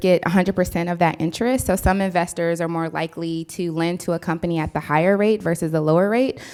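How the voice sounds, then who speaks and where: A plain, everyday voice in an American accent, delivered with fairly even intonation. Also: woman. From US West Coast (San Diego). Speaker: entrepreneur, keynote speaker. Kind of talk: audience Q&A.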